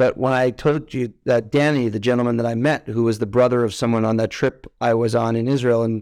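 On a very clean recording with a silent background, a man with an unremarkable speaking voice talks at a fairly quick pace and medium pitch. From New York, Westchester. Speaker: healthcare executive and former soldier. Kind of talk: interview.

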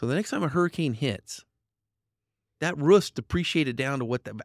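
A man with an American accent talks at a fairly quick pace with lively intonation and a plain, everyday voice. The very clean recording has a silent background and a dry, close sound with no echo. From Idaho. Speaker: insurance business owner. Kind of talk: podcast interview.

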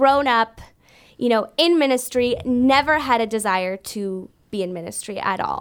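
A woman with an unremarkable speaking voice talks at a fairly slow pace in a Canadian accent, her pitch fairly high. The recording is very clean, and the background is silent. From Canada, Brampton, Ontario. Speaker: worship leader and church ministries director. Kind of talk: interview.

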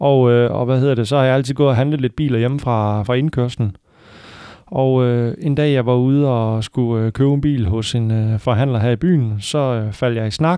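A man with a medium-pitched voice and a dark, mellow tone. He keeps a moderate pace, with very even loudness and fairly even intonation. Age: 30s. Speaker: used car salesman. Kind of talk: casual chat. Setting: car dealership. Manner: hesitant, many fillers.

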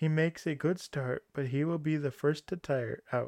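A man with an unremarkable speaking voice, fairly high in pitch with ordinary variation, at a moderate pace, with a dry, close sound and no echo. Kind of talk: scripted narration, audiobook-style fairy tale reading. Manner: storyteller's measured pace, shifting into character voices for dialogue.

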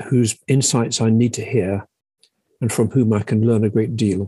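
A man speaks with a southern English accent in a dark, mellow tone. His pace is fairly slow. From southern England, Sussex. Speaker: publisher and literary agent. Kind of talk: interview testimony. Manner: halting, repeats words.

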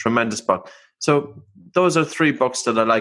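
A man with an Irish accent at a moderate pace, with ordinary pitch variation. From Ireland. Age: 40s. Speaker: breathing expert and author. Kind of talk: interview.

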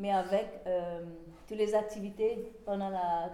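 A woman talks at a very slow pace in a medium pitch. Her intonation is fairly even, and the room adds an audible echo. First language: English (speaking French). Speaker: historian. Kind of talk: lecture. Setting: small venue with live audience. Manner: halting.

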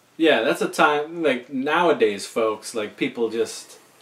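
Very wide pitch swings from a man with a fairly high voice, at a moderate pace, with noticeable background noise. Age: 40s. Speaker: podcast host. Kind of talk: casual chat.

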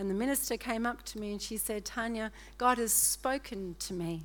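A woman talks at a fairly slow pace with an Australian accent. There is audible room echo. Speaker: guest preacher. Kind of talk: sermon. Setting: church. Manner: animated.

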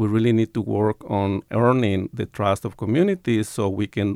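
With an American accent, a man speaks at a fairly low pitch in a plain, everyday voice, using ordinary pitch variation at a moderate pace. The recording is very clean with a silent background and a dry, close sound with no echo. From Tucson, Arizona and Sonora, Mexico border region. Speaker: professor. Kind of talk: interview.

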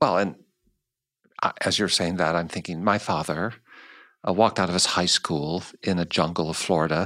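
Against a silent background in a very clean recording, a man with a General American accent speaks at a moderate pace in a very deep, low voice with a bright, sharp tone and flat, monotone intonation. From United States. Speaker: podcast host. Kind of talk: interview. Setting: studio.

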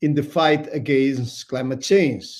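With a Spanish accent, a man speaks. His pitch is fairly high. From Spain. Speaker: politician. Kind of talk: panel discussion. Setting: video call.

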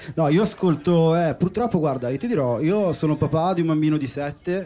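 Music plays behind a man speaking at a fairly quick pace. His pitch is fairly high, with ordinary variation. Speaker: DJ. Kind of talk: interview on live podcast. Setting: boat with live audience.

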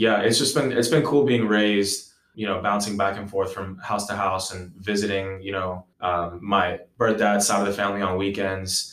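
With an American accent, this is a plain, everyday voice at a moderate pace with fairly even intonation. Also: man. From New York (NYC, Long Island). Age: 20s. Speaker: ESL teacher and baseball coach. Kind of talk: casual interview chat.

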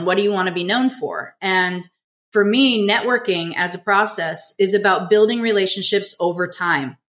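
With an American accent and an ordinary speaking voice, a woman speaks at a medium pitch. Her pace is moderate and her pitch variation ordinary. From Southern California. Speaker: business coach. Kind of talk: interview.

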